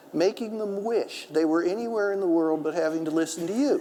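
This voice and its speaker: A man talks at a moderate pace with a high pitch. His voice makes very wide pitch swings. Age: 60s. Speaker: author and historian. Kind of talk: public talk with audience.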